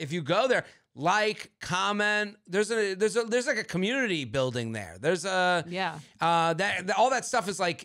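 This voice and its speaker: The setting is quiet. A man talks at a moderate pace. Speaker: podcast co-host. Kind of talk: casual podcast chat. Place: studio. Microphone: studio mic.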